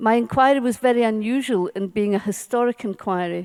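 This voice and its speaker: A woman in a Scottish accent talks with ordinary pitch variation, recorded dry and close with no echo. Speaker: social work professor and inquiry author. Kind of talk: conference keynote speech. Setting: conference stage with audience. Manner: slow, carefully pronounced.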